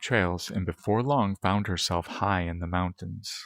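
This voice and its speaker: In a very clean recording with a silent background and a dry, close sound with no echo, a man talks at a fairly slow pace in a raspy, very deep, low voice with fairly even intonation. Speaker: ASMR roleplay performer. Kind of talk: bedtime story read.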